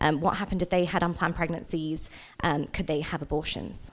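A woman with an English accent at a moderate pace, on a very clean recording with a silent background. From England. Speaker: nonprofit director. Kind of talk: church talk. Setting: church service.

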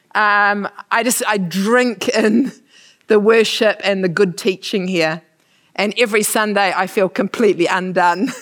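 With a New Zealand accent, a woman speaks at a fairly slow pace in fairly even intonation. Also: medium pitch for a woman. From New Zealand, Manawatu. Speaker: missionary. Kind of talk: church talk.

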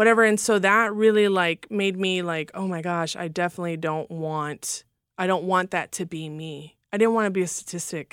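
With an ordinary speaking voice, a woman talks at a moderate pace and medium pitch with fairly even intonation, in a very clean recording with a silent background. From Los Angeles, California. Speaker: former stripper sharing faith testimony. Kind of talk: testimony. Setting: studio.

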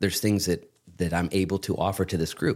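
With a normal speaking voice, a man talks at a moderate pace and fairly even intonation in a very clean recording with a silent background. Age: 40s. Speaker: pastor. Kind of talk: casual chat. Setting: studio.

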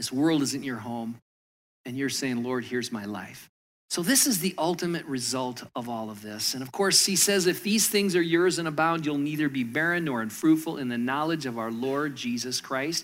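A man with an American accent and a normal speaking voice, fairly high in pitch, lively in intonation, at a moderate pace, on a very clean recording with a silent background. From Michigan. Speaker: pastor. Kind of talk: sermon.

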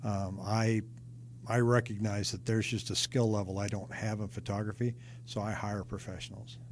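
A man with a fairly low voice speaks at a moderate pace in an American accent, his intonation flat and monotone and his tone somewhat breathy. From Seattle, US Pacific Northwest. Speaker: real estate agent. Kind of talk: interview.

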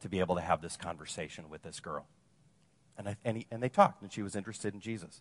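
A man with an American accent and a plain, everyday voice, fairly low in pitch with fairly even intonation, sounding dry and close with no echo over a quiet background. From Wisconsin, US Midwest. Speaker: campus ministry missionary and speaker. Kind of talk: sermon.

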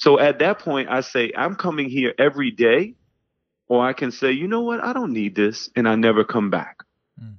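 He speaks in a normal speaking voice with an American accent and lively intonation. This man's pitch is medium and his pace moderate. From New York City (Harlem and the Bronx). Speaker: pastor. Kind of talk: casual interview conversation.

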